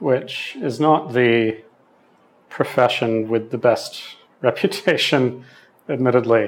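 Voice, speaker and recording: A man talks at a medium pitch with an Australian accent. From western Sydney, Australia. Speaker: podcast host. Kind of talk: interview about own life, reflective conversation.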